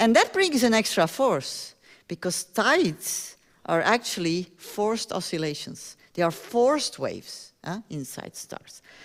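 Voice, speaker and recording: On a very clean recording with a silent background, a woman with a fairly high pitch speaks at a fairly slow pace, with very wide pitch swings and big swings in loudness. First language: not English (English is third language). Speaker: astronomy professor. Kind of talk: public lecture. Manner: animated.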